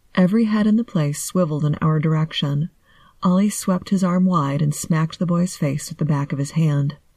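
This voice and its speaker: A woman speaks in a fairly low pitch with a dark, mellow, somewhat breathy voice and ordinary pitch variation. Her tone is calm and soothing, on a very clean recording with a silent background. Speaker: podcast host and narrator. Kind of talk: scripted narration, bedtime story reading. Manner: calm, soothing.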